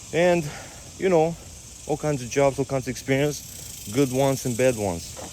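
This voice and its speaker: With a Romanian accent, a man speaks at a moderate pace and a fairly high pitch, with ordinary pitch variation. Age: 30s. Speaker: fitness coach. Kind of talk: casual vlog monologue. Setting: outdoors on a walk. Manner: halting.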